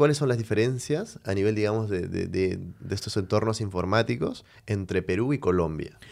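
With a plain, everyday voice, a man talks at a moderate pace and fairly low pitch, with ordinary pitch variation and hardly any pauses, on a very clean recording with a silent background. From Venezuela. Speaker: podcast host. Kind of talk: interview.

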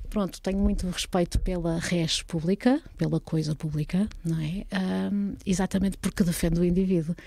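A somewhat breathy woman's voice with a dark, mellow tone, medium pitch, and moderate pace. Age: 40s. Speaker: former party politician and lawyer. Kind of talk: casual interview.

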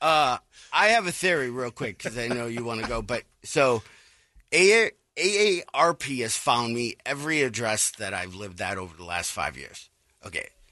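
Against a quiet background, a man's bright, sharp voice makes very wide swings in pitch. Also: medium pitch for a man, moderate pace, big swings in loudness. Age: 50s. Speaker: radio co-host. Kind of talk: casual chat.

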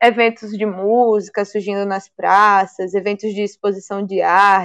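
A woman talks at a fairly slow pace in a plain, everyday voice, her medium pitch carrying fairly even intonation on a very clean recording with a silent background. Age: 20s. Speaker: mayoral candidate, activist. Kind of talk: interview.

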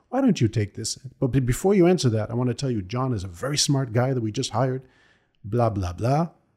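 A man's medium-pitched, somewhat breathy voice with a dark, mellow tone, lively intonation and a very fast pace. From Israel. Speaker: cross-cultural consultant and military diplomat. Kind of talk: interview podcast.

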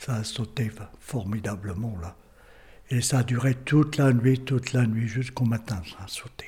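Somewhat breathy and dark, mellow in tone, a man speaks at a medium pitch and a fairly slow pace with fairly even intonation. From northern France, Lille area. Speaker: local history witness. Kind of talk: oral history testimony. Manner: halting, many repetitions.

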